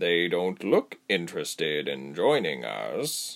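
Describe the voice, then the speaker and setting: Speaking at a fairly slow pace, a man adopts a put-on character voice. His pitch is very deep and low. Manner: lazy, sly, menacing.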